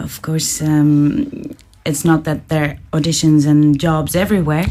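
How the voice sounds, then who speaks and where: A woman speaks with a Dutch accent in a very deep, low voice, fairly slowly and with monotone, flat intonation. Noticeable background noise sits behind her. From Netherlands. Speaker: actor. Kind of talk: casual chat.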